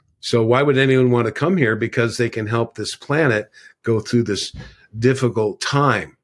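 A man with an American accent and a normal speaking voice, medium in pitch, fairly even in intonation and moderate in pace, on a very clean recording with a silent background. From US West Coast, California. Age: 60s. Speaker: ET contactee and spiritual teacher. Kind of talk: casual interview.

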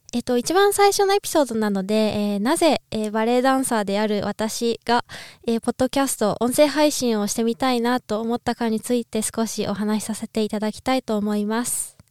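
A woman talks at a fairly quick pace and fairly high pitch, with ordinary pitch variation, in a dry, close sound with no echo. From Japan, Niigata. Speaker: ballet dancer and podcaster. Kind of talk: casual solo podcast talk. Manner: halting, many fillers.

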